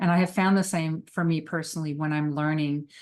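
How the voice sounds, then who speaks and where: Speaking in a French Canadian accent, a woman with a very deep, low pitch talks at a fairly quick pace. Her pitch variation is ordinary, and the background is quiet. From Quebec. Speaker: psychotherapist and trainer. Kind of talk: recorded webinar lecture.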